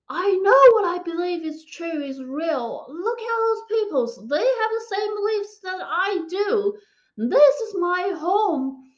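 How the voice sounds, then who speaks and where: A woman speaks at a very slow pace in an extremely high pitch, with very wide pitch swings. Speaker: physics PhD student sharing faith story. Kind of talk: testimony. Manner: halting.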